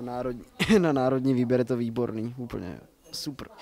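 This man's voice sits at a medium pitch with ordinary pitch variation and a slightly mellow tone.

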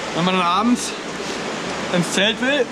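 Loud background noise surrounds a man who speaks at a fairly slow pace with ordinary pitch variation. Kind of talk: casual vlog chat. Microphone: phone near.

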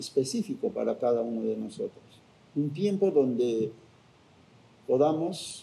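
Talking at a very slow pace, a man with a fairly high pitch has a dark, mellow tone. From Cusco, Peru. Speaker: spiritual guardian of Machu Picchu. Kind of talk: interview answer. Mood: calm, reflective.

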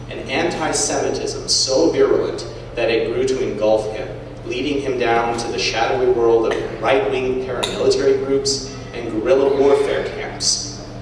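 A man talks at a moderate pace amid strong room echo and noticeable background noise. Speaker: guest. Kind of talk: lecture. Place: hall. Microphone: camera far.

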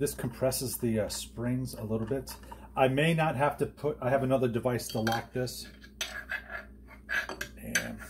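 A man talks at a moderate pace with long, frequent pauses, and noticeable background noise is present. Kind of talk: tutorial. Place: workshop. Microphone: phone near.

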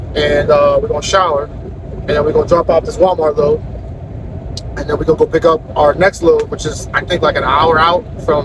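The man talks at a fairly quick pace. The sound is dry with no echo, and there is noticeable background noise. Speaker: truck driver vlogger. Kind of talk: casual vlog chat. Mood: mildly annoyed, relaxed. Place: car. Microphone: phone near.

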